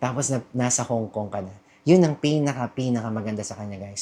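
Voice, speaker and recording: This man speaks at a fairly quick pace with a medium pitch. His tone is dark and mellow, and his pitch varies in an ordinary way. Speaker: travel vlogger. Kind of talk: casual vlog talk. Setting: hostel room. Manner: talkative; chatty, self-correcting.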